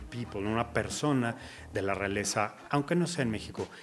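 A man's medium-pitched voice, with music in the background. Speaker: car show host. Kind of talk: casual interview.

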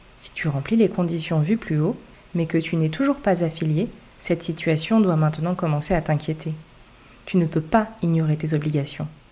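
At a moderate pace, the voice has a dark, mellow tone, sounds somewhat breathy, and shows ordinary pitch variation. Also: woman, fairly low pitch for a woman. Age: 30s. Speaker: tax and real estate podcaster, former accountant. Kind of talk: scripted narration.

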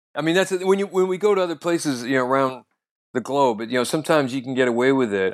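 In an American accent, a man speaks very fast at a medium pitch. His intonation is lively, and the background is quiet. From US, North Idaho. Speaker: comedian. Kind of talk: casual chat.

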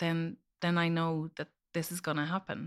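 A woman speaks in an Irish accent with a very deep, low pitch, flat and monotone, at a moderate pace. The recording is very clean, with a silent background. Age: 40s. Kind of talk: personal testimony in interview.

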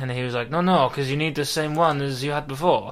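Noticeable background noise accompanies a man who speaks at a very fast pace. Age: 20s. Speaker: podcast co-host. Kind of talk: casual chat. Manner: halting.

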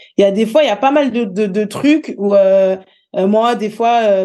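The tone is dark and mellow. Pitch moves up and down in an ordinary way. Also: woman. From Paris region, France (Val-d'Oise, near Sarcelles). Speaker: social media content creator. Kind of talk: casual interview conversation.

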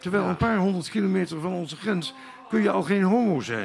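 Over noticeable background noise, a man with a high pitch speaks at a moderate pace. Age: old. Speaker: poet. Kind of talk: casual interview. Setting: live at a wine bar in a festival foyer.

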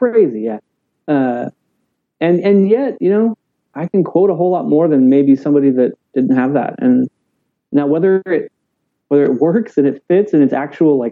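A man speaks with a Texan accent, his pitch fairly high and his intonation lively. His pace is moderate, broken by long, frequent pauses. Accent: Texan American. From South Texas, Corpus Christi. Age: 30s. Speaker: pastor. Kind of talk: casual chat. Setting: video call.

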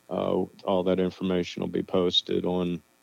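A man is speaking. His pitch is very deep and low. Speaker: band guitarist and songwriter. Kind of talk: casual radio interview, phone call. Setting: phone call. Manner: laid back, modest, self-deprecating.

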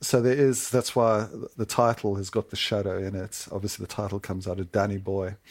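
An ordinary speaking voice at a fairly quick pace, with fairly even intonation, on a very clean recording with a silent background. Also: man, fairly low pitch for a man. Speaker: sportswriter. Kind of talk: interview. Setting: studio.

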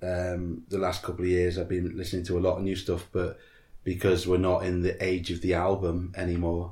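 In a somewhat breathy voice, a man speaks with a very deep, low pitch and a monotone, flat intonation. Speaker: podcast co-host. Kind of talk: casual chat. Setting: front room at home.

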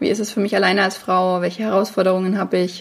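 A woman talks at a very fast pace. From Franconia, Germany (near Bamberg). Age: 30s. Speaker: podcast host and online French teacher. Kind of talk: solo podcast monologue.

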